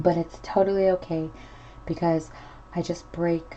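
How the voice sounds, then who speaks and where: A woman speaks softly at a fairly low pitch. Her intonation is fairly even. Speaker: miniature crafter. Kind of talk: tutorial. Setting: home at night. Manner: soft-spoken; casual.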